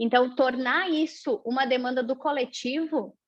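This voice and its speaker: Fairly even intonation in a woman's high-pitched voice. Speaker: university lecturer in performing arts. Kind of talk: academic panel talk.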